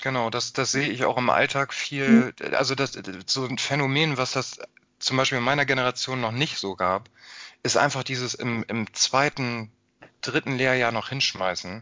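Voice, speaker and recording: Here a man speaks in a normal speaking voice at a medium pitch. His intonation is fairly even and his pace moderate. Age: 30s. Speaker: podcast host. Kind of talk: interview.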